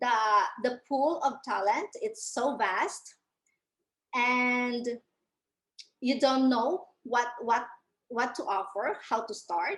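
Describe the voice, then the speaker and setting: Long pauses break up the speech often. Its pace is very slow. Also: woman, high pitch for a woman, lively intonation. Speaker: freelancing coach. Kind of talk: webinar presentation. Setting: online webinar.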